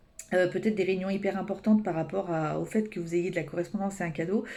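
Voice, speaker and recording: A woman speaks with a dark, mellow tone. Audible room echo surrounds her voice. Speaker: tarot card reader. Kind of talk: weekly energy reading. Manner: fast; hesitant, many fillers.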